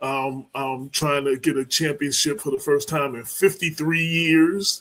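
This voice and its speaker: Using an unremarkable speaking voice, a man with an American accent speaks slowly at a fairly high pitch, with fairly even intonation. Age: 60s. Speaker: co-host and journalist. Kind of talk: casual chat.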